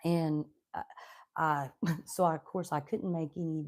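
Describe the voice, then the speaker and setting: A woman with an Appalachian accent speaks at a fairly low pitch and a fairly slow pace. Her tone is dark and mellow on a very clean recording with a silent background. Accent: Appalachian Southern US. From Southwestern Virginia, Appalachian coal country. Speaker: homesteading YouTuber. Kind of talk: casual live stream chat. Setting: home kitchen, live stream.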